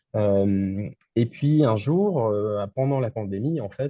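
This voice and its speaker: A man speaks at medium pitch with ordinary pitch variation. His voice is somewhat breathy. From France. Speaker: entrepreneur, game developer. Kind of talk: interview. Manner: hesitant, many fillers.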